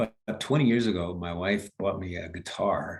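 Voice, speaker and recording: A man with an American accent speaks in a very deep, low, somewhat breathy voice with ordinary pitch variation. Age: 70s. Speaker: leadership coach. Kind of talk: interview. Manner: halting.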